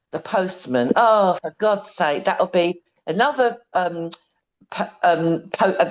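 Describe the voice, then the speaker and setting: Speaking very slowly, a woman with a British accent uses a medium pitch with ordinary variation. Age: 60s. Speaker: program participant. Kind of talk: testimony. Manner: halting.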